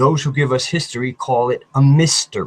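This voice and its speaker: A man's fairly high, somewhat breathy voice with fairly even intonation and a dry, close sound with no echo. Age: 60s. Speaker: YouTube researcher, alternative history. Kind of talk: casual chat interview.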